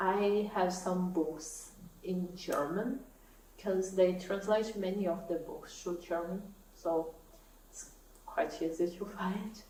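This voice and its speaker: A woman's very slow speech with ordinary pitch variation, audible room echo and noticeable background noise. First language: Portuguese. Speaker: knitting YouTuber. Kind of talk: casual vlog talk to camera.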